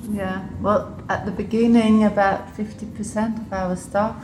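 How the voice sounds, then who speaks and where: A woman's very slow, flat, monotone voice at a medium pitch, with noticeable background noise. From Switzerland and Liechtenstein, half English. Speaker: public health official. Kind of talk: casual interview. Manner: halting, with fillers.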